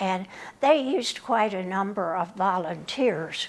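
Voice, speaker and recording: A woman at a medium pitch with ordinary pitch variation. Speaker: retired AAUW member. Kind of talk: oral history interview answer. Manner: hesitant, reflective, many fillers.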